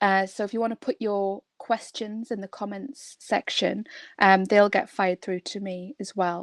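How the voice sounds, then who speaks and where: Speaking with a northeast England accent, a woman keeps a medium pitch, fairly even intonation and a moderate pace. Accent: northeast England, kept. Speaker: construction trainer and coach. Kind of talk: webinar presentation. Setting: online webinar. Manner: hesitant with fillers.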